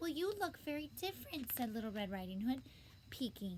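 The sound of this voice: What comes through is an unforced reading voice.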